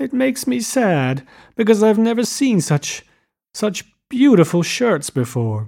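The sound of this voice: In a put-on character voice, a man speaks slowly and high for his sex, with big pitch swings, vocal fry and a dark, mellow tone, on a very clean recording with a silent background.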